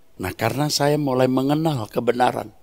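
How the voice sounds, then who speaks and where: A man with a fairly high pitch speaks while music plays in the background. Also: dry, close sound with no echo. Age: 60s. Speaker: preacher. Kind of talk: sermon.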